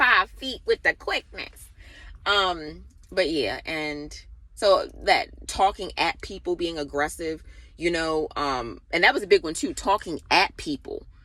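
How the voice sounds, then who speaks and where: A fairly slow voice with an American accent on a very clean recording with a silent background. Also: woman. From Baltimore, US. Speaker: spiritual vlogger. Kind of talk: casual monologue. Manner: loud; direct.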